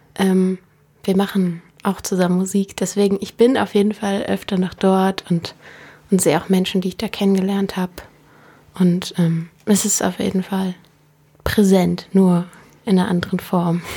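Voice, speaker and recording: At a moderate pace, a woman speaks in a somewhat breathy, dark and mellow voice of medium pitch, monotone and flat, with long, frequent pauses. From Berlin, Germany. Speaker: singer-songwriter. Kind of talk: interview. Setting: radio studio.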